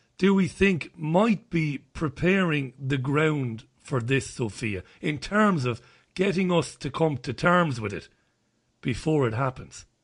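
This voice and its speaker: Over a quiet background, a man speaks very slowly in a somewhat breathy, fairly high voice with lively intonation. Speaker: radio show host. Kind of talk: interview.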